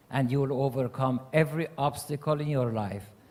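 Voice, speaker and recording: This man's voice is fairly high and somewhat breathy. He talks at a fairly slow pace with ordinary pitch variation. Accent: Persian. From Iran. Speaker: mayor and panelist. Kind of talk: panel remarks.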